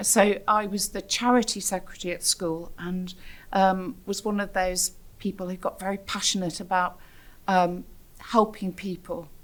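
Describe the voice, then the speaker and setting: A woman speaks at a moderate pace with a British accent and a medium pitch. Her intonation is monotone and flat. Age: 60s. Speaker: theatre producer. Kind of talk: personal testimony. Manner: reflective, with frequent hesitations.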